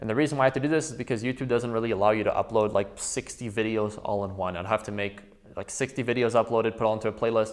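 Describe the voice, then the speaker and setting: A man is speaking. His pitch is medium. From Quebec, Canada. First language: French. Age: 20s. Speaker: trading educator. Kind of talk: course introduction.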